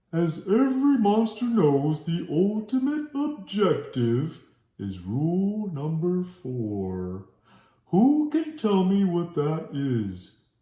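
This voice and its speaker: A put-on character voice delivered at a very slow pace, with a slight echo. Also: man, high pitch for a man. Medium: read story. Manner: formal, instructive.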